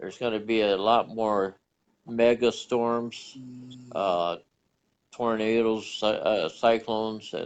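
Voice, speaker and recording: Medium in pitch and monotone, with flat intonation, a man speaks at a fairly slow pace. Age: 70s. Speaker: author. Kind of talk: interview. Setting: live stream.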